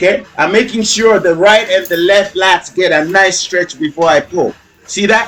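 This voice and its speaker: A high-pitched man speaks in an animated tone at a moderate pace over noticeable background noise. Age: 50s. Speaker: fitness trainer. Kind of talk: workout video commentary.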